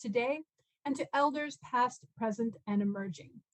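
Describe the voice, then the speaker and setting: Speaking at a moderate pace with an American accent, a woman uses a fairly high pitch and lively intonation. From California, US. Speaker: law professor and arbitrator. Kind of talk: conference lecture. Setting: video call.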